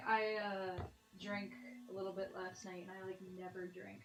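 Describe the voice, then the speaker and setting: A woman speaks at a moderate pace. The room echo is audible and the background noise is noticeable. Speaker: livestream host. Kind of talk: casual chat. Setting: studio.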